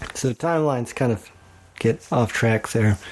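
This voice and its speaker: A man with an American accent talks at a fairly slow pace with ordinary pitch variation. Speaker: woodworker guest-hosting a podcast. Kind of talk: casual monologue. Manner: casual, with many fillers.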